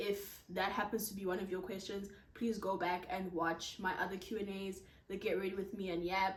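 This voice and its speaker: Noticeable background noise and audible room echo around a woman's moderately paced speech. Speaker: content creator. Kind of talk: casual Q&A vlog. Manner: projecting voice loudly.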